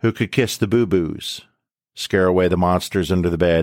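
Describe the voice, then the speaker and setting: A man speaks with a very deep, low pitch and a warm, solemn tone, with fairly even intonation. His moderate pace is caught in a dry, close sound with no echo. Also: very clean recording, silent background. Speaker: podcast host. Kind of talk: dramatic poem reading in the style of a tribute speech. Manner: warm, solemn, rhythmic cadence with repeated refrain.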